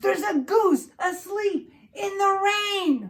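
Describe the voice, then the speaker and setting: A woman does a squeaky put-on character voice at an extremely high pitch. She speaks very slowly. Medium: read story. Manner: flustered.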